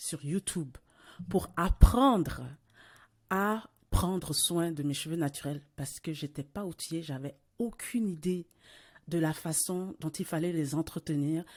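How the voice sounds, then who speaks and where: Recorded very cleanly against a silent background, a woman with a fairly low pitch speaks at a fairly slow pace, using ordinary pitch variation and long, frequent pauses. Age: 40s. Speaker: podcast host. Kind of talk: casual interview conversation. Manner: hesitant, many fillers and repetitions.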